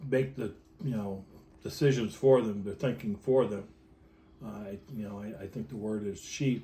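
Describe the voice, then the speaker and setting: A man speaks somewhat breathily at a moderate pace in a fairly low pitch. His tone is dark and mellow, with ordinary pitch variation. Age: 60s. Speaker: electronics technician and union president. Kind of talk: interview. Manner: halting, many fillers and repetitions.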